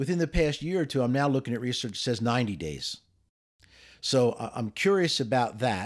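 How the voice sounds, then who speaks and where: A plain, everyday voice, this man speaks at a medium pitch with ordinary pitch variation on a very clean recording with a silent background. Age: 60s. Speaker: podcast co-host, educator. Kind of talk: casual chat.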